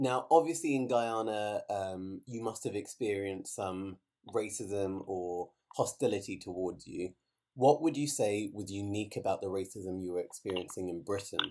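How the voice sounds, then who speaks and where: Here is a man with a plain, everyday voice at fairly low pitch. He speaks at a moderate pace with ordinary pitch variation. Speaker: podcast host. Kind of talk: interview. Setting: remote call.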